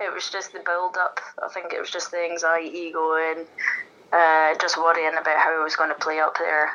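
Monotone and flat, a woman with a Scottish accent speaks at a fairly low pitch in a bright, sharp tone. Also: moderate pace. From Scotland. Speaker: darts player. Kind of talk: casual interview.

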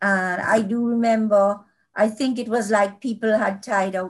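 A woman speaks at a fairly slow pace, somewhat breathy, with ordinary pitch variation. The background is quiet. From Jamaica (Kingston). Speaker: children's author. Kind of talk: interview.

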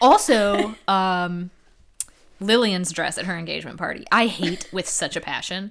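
Speaking in a plain, everyday voice at a medium pitch, a woman goes at a fairly slow pace, her pitch varying in an ordinary way. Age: 30s. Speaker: podcast co-host. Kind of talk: casual chat.

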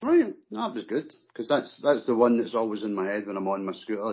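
A man with a Scottish accent talks at a fairly quick pace and a fairly low pitch. His intonation stays fairly even. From Scotland. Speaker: guest, mod and northern soul fan. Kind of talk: casual chat.

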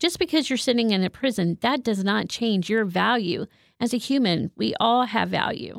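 A woman's fairly high voice at a moderate pace, with very even loudness, dry and close with no echo, in a very clean recording with a silent background. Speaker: licensed counselor. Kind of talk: casual interview. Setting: studio.

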